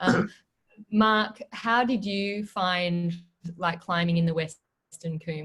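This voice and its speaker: A woman speaks very slowly at a fairly low pitch. Her pitch varies in an ordinary way while her loudness swings widely. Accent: Australian. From Australia. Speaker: webinar moderator. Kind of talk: webinar moderation. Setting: online webinar.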